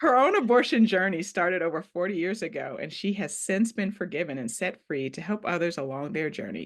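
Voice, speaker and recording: A woman's fairly low voice with an American accent at a moderate pace, over a quiet background. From Ohio. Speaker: podcast host. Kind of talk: interview.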